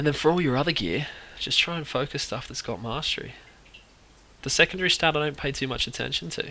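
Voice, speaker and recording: A man with an Australian accent talks at a very fast pace in a fairly high pitch, with ordinary pitch variation and noticeable background noise. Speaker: video game guide creator. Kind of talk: tutorial.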